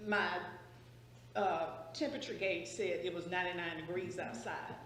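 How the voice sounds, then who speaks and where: With a Southern US accent, a woman speaks with ordinary pitch variation. Noticeable background noise and audible room echo fill the recording. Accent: Southern US (Georgia). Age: 60s. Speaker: public commenter. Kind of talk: public comment at meeting.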